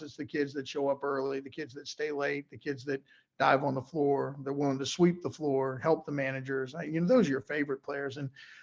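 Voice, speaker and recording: With an American accent, a man talks at a fairly quick pace in a fairly high voice for a man, with flat, monotone intonation and hardly any pauses. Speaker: high school basketball coach. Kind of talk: interview. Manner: halting, many fillers.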